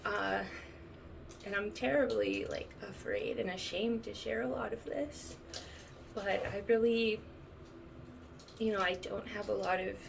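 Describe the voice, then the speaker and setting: Recorded with audible room echo and noticeable background noise, a woman speaks at a fairly slow pace with long, frequent pauses. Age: 30s. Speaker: vlogger sharing chronic illness experience. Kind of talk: personal testimony. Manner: halting, many fillers.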